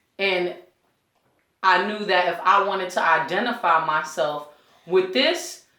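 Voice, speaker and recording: A woman at a fairly slow pace with long, frequent pauses, her medium-pitched, bright, sharp tone showing ordinary pitch variation amid audible room echo. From New York City (Brooklyn, Coney Island). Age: 30s. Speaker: community teacher. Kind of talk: interview. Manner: casual.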